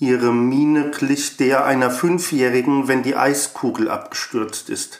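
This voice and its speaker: Here a man talks at a very slow pace. His pitch is fairly high, with ordinary pitch variation. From Germany, Frankfurt. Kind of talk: reading aloud.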